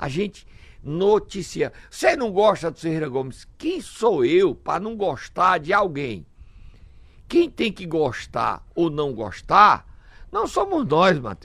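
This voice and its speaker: A man speaks at a very slow pace with big swings in loudness. The recording is very clean, with a silent background. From Brazil, Ceará (Sobral). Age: 60s. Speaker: political commentator. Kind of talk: radio talk show commentary. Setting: radio studio.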